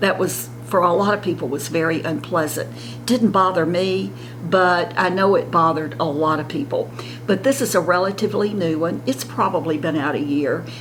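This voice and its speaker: In a Southern US accent, a woman speaks at a moderate pace. Audible room echo and noticeable background noise surround her. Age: 70s. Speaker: beauty vlogger. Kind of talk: casual makeup tutorial.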